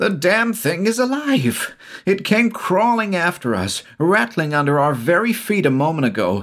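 Using a put-on character voice, a man speaks at a moderate pace in a high, fairly bright tone with big pitch swings, on a very clean recording with a silent background.

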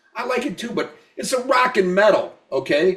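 A man in an animated tone, with lively intonation and a moderate pace. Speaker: podcast co-host. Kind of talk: casual chat.

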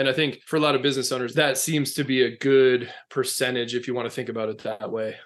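Speaking very fast with hardly any pauses, a man with a slight Minnesota accent keeps a flat, monotone intonation. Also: medium pitch for a man. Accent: slight Minnesota accent, long O sounds. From US Midwest, west central Minnesota. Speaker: leadership consultant. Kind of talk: interview.

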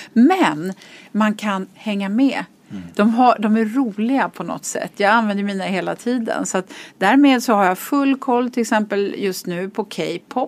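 A woman speaks slowly, at a fairly slow pace, in a fairly high pitch. Hers is an unremarkable speaking voice. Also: ordinary pitch variation. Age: 50s. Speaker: business executive and board member. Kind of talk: podcast interview.

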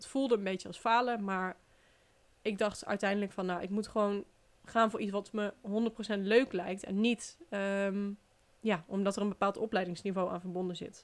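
A woman's monotone, flat delivery with big swings in loudness. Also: medium pitch for a woman, moderate pace. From Netherlands, Brabant (Den Bosch). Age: 20s. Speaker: podcast host, relocation coach. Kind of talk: personal story monologue. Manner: casual, chatty with fillers.

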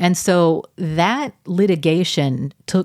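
A woman is speaking. She has an American accent. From Texas, Arlington. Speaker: opinion journalist. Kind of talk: interview.

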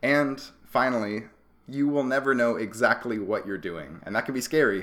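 With an unremarkable speaking voice, a man at medium pitch talks at a moderate pace with lively intonation. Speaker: astronomy PhD student and podcast host. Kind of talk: casual conversational podcast.

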